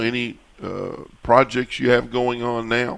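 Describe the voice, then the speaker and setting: Speaking very slowly, a man uses a medium pitch. He talks in a Kentucky accent. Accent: Southern US (Kentucky). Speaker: radio host. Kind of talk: radio talk show.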